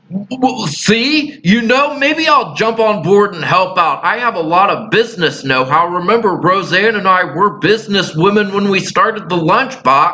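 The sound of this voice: Putting on a character voice, a man speaks high-pitched with a bright, sharp tone and lively intonation, fairly slowly and with few pauses, over faint background noise.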